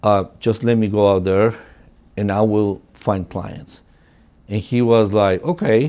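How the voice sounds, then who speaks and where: With a Spanish accent, a man talks at a fairly slow pace in a fairly low pitch, his intonation fairly even and his tone dark and mellow. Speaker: real estate agent. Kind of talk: personal storytelling. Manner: casual, many fillers.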